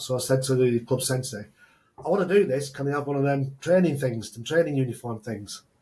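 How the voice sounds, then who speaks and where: Speaking at a fairly quick pace, a man with a medium-pitched, somewhat breathy voice shows ordinary pitch variation. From northern England (Oldham). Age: 60s. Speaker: entrepreneur, former rugby player. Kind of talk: podcast interview.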